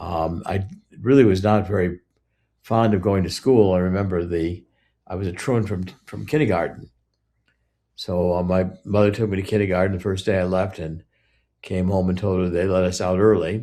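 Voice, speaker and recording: Over a silent background in a very clean recording, a man with a very deep, low pitch speaks at a moderate pace with fairly even intonation and long, frequent pauses. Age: 70s. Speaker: author. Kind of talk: interview. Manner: halting, many fillers.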